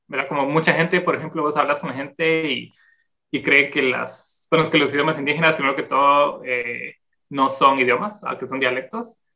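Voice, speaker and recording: A man with a Guatemalan accent, bright and sharp in tone, at a moderate pace with fairly even intonation. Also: fairly high pitch for a man. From Guatemala City. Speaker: anthropologist and demographer. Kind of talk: interview. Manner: halting.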